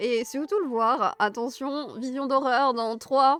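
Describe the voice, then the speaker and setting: A woman speaks at a very slow pace in a high pitch with ordinary pitch variation. Music plays in the background. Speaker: Tolkien fan streamer. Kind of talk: casual livestream talk to chat. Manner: soft, calm.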